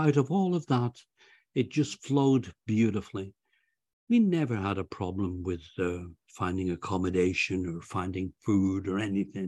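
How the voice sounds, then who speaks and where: A man speaks at a moderate pace with lively intonation and a somewhat breathy voice. The sound is dry and close with no echo, over a quiet background. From England. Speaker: author and retired volunteer. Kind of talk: interview.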